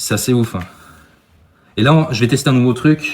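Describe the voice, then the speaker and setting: Somewhat breathy and medium in pitch, a man's voice moves at a moderate pace. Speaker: paranormal investigator. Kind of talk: live paranormal investigation vlog.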